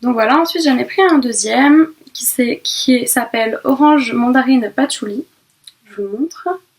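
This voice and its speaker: A woman speaks in a high pitch with ordinary pitch variation. Her pace is very slow. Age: 20s. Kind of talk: casual talk to camera, beauty haul. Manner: hesitant, stammering.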